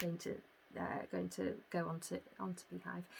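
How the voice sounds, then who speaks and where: A woman talks with a Yorkshire accent. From northern England, York. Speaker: podcast host, yarn business owner. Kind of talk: casual chat. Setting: home recording. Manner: hesitant, many fillers.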